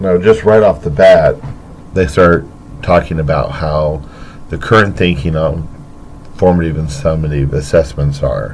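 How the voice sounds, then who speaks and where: Long, frequent pauses break up speech delivered at a moderate pace. Intonation is fairly even, with noticeable background noise. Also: man, very deep, low pitch for a man. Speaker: teacher. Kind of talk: educational podcast.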